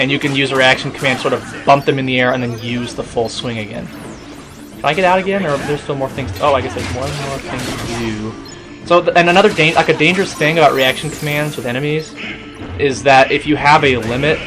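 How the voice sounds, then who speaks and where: Over music in the background, a man speaks at a fairly quick pace. His fairly high pitch shows ordinary pitch variation. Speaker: gaming video commentator. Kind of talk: let's play commentary. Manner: quiet; halting.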